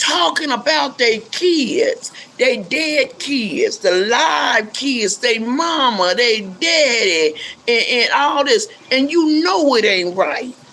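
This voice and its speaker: A woman's high voice at a very slow pace, with very wide pitch swings and very even loudness, over noticeable background noise. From South Central Los Angeles. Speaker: YouTuber, pastor's wife. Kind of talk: casual livestream monologue. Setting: at home. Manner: animated.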